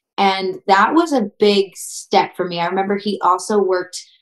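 With an American accent, a woman talks fairly slowly at a medium pitch in an ordinary speaking voice. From southern Wisconsin, US. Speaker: country singer-songwriter. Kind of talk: interview.

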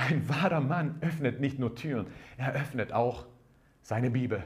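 Audible room echo surrounds a man speaking at a fairly slow pace. His medium-pitched voice is somewhat breathy, with lively intonation. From Croatian background. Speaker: pastor. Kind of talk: sermon. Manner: animated.

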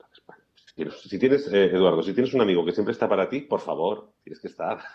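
A man is speaking. He has a Castilian accent. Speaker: life coach. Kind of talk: interview. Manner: quiet at times; hesitant, repeats words.

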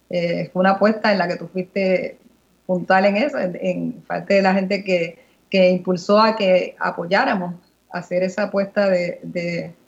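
A woman at medium pitch, somewhat breathy, with fairly even intonation. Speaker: politician. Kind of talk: radio interview.

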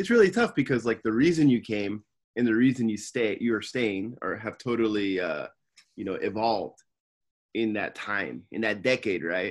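An ordinary speaking voice with an American accent, moderate pace and ordinary pitch variation. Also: man, medium pitch for a man. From California, Simi Valley. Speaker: podcast co-host. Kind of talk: casual chat.

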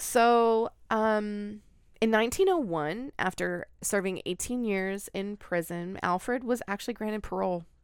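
A woman's unremarkable speaking voice at medium pitch, with ordinary pitch variation and a fairly slow pace, on a very clean recording with a silent background. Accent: American. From Oregon, US. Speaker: podcast co-host. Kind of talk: storytelling.

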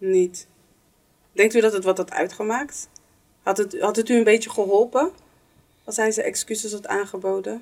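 Moderate pace broken by long, frequent pauses. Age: 40s. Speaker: podcast host. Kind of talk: casual chat.

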